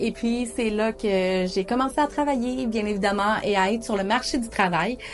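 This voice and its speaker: Fairly slow, medium-pitched speech from a woman, with ordinary pitch variation amid noticeable background noise. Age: 30s. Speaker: diabetes community video host. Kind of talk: personal storytelling monologue. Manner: hesitant, frequent fillers.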